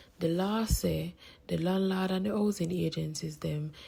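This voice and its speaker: A Jamaican accent at a moderate pace. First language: Jamaican Patois. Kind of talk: public information announcement.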